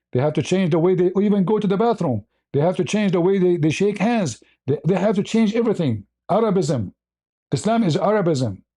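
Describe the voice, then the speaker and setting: A man's high, dark, mellow voice at a fairly quick pace, with lively intonation, very even loudness and a quiet background. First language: Arabic. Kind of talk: heated debate. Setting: livestream. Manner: animated.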